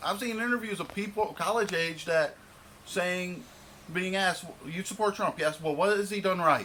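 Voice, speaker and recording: Over noticeable background noise, a man with an American accent uses a raised, projected voice at a high pitch, speaking at a moderate pace with ordinary pitch variation. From Michigan, US. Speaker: vlogger. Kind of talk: rant. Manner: stumbling over words.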